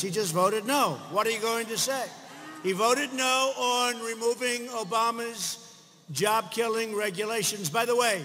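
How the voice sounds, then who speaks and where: In an American accent, a man speaks with a raised, projected voice at a high pitch. His pace is moderate and his pitch variation ordinary. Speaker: US president speaking at a political rally. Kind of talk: political rally speech to a crowd. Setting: large crowd, rally venue with audience reactions.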